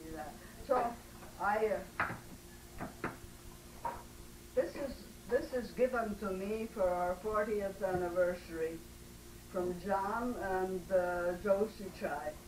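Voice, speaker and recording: At a very slow pace with long, frequent pauses, a woman speaks at a medium pitch with ordinary pitch variation over noticeable background noise. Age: 80s+. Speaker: family elder at reunion. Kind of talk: casual chat. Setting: family reunion gathering. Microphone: camcorder audio, no microphones.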